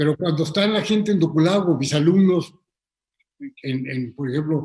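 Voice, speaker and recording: A man speaks with a Mexican accent. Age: 70s. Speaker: filmmaker. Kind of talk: casual chat. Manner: halting, repetitive.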